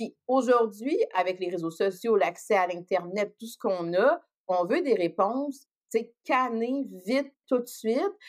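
Very slow, lively speech from a woman with a fairly high pitch. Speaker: psychologist. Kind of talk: casual podcast interview.

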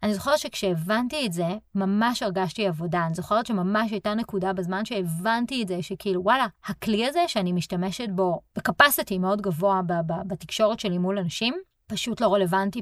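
A woman's normal speaking voice at medium pitch and a moderate pace, with ordinary pitch variation. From Israel. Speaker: podcast host and relocation coach. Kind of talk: solo podcast monologue.

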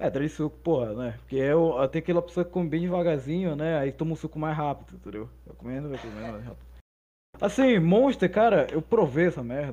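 Loudness rises and falls sharply, and the tone is dark and mellow. The intonation is lively at a fairly quick pace. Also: man, fairly high pitch for a man. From northern Brazil. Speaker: podcaster. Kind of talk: casual chat.

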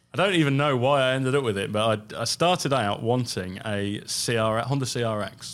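At a very fast pace, a man with an East Midlands accent speaks with ordinary pitch variation. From England. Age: 40s. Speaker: car restoration company co-founder and designer. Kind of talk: interview conversation. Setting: studio.

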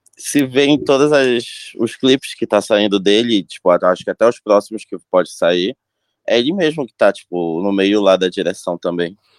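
The sound is dry and close, with no echo. A man talks at a moderate pace with lively intonation. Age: 20s. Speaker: music enthusiast. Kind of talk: casual chat.

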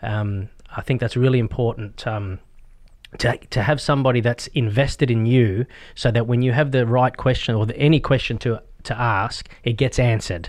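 This man has an Australian accent and a medium pitch, speaking at a moderate pace. His intonation is fairly even over a quiet background. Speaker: real estate agent. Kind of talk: interview. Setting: studio.

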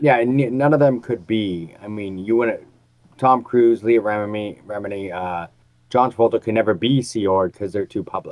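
This man has an unremarkable speaking voice, medium in pitch with ordinary pitch variation and a moderate pace. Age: 40s. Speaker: podcast co-host. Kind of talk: casual chat.

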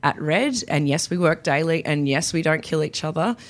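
A woman with a very deep, low pitch speaks on a very clean recording with a silent background. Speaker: podcast host. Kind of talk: solo podcast monologue. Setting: professional podcasting studio. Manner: animated; loud.

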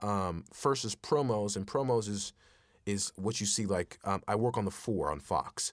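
A man with an American accent speaks at a moderate pace with a fairly low pitch and ordinary pitch variation, in an unremarkable speaking voice. The recording is very clean with a silent background. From Texas. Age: 20s. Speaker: voice actor. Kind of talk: casual interview.

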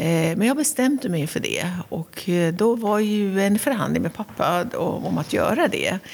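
A woman with a Persian accent talks at a fairly slow pace with hardly any pauses, using lively intonation at a medium pitch over noticeable background noise. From Iran, Tehran. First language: Persian (speaking Swedish). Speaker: county governor. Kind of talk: interview. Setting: castle office.

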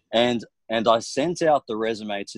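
A man with an Australian accent speaks at a medium pitch and moderate pace, in a dry, close sound with no echo. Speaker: property investment strategist. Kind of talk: interview chat.

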